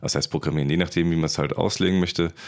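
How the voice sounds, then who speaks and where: A man speaks with a very deep, low voice. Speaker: podcast host for filmmakers. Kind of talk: casual interview.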